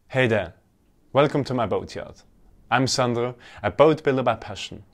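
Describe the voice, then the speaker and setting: At a moderate pace, a man is speaking. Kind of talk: casual vlog chat. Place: workshop. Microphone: lapel.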